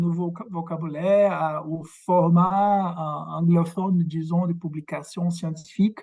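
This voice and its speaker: In a Quebec accent, a man talks at a fairly slow pace with monotone, flat intonation. His high pitch comes with a dark, mellow tone. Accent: Québécois-accented French. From Brazil. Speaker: academic researcher. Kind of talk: lecture. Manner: halting, many fillers and repetitions.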